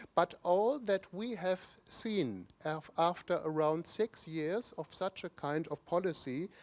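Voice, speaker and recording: Very slow speech with ordinary pitch variation, dry and close with no echo. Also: man. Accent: German. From Germany. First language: German. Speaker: conference speaker, economist. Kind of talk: conference speech. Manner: occasional stumbles and restarts.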